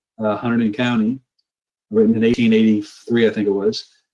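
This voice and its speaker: A man with an American accent and an unremarkable speaking voice, medium in pitch, at a moderate pace with fairly even intonation. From US Midwest, rural northwest central Ohio. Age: 60s. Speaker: retired geologist. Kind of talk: casual interview.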